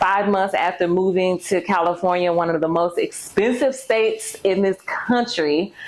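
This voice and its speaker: A woman speaks at a fairly slow pace. She has a slight Southern US accent. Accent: slight Southern twang. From Mississippi, US South. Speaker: YouTuber and personal finance coach. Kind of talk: casual vlog introduction.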